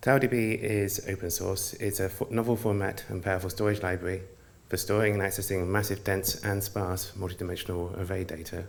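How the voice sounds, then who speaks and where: A man with a British accent, fairly low in pitch and fairly even in intonation, in audible room echo. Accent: quite British. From United Kingdom. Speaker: software engineer presenter. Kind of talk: conference presentation.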